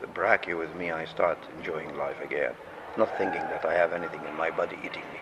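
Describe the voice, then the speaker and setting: A man with an Arabic accent talks very fast with big swings in loudness, and noticeable background noise behind him. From Jordan. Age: 70s. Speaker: patient and orthopedic surgeon. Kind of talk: interview testimony.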